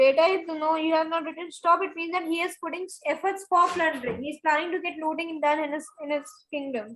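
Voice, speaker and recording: At a very fast pace with hardly any pauses, a woman talks at an extremely high pitch with fairly even intonation. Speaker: school teacher. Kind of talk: online class lesson.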